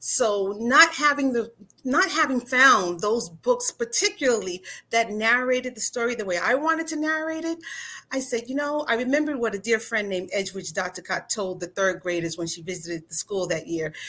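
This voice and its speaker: A woman's bright, sharp, fairly high voice at a moderate pace, with very wide pitch swings. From New York. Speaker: attorney and author. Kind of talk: interview.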